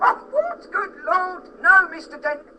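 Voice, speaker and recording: A squeaky, put-on character voice at an extremely high pitch comes at a fairly slow pace. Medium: audio drama. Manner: hesitant, stammering.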